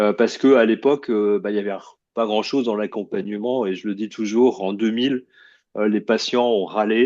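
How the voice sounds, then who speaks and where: Over a quiet background, a man with a fairly low pitch talks at a moderate pace with fairly even intonation. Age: 60s. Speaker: oncologist. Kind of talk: lecture. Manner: halting.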